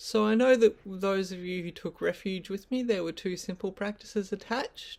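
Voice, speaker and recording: This is a very clean recording with a silent background. The voice carries an Australian accent. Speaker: Buddhist teacher. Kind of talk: dharma teaching. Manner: hesitant, many ums.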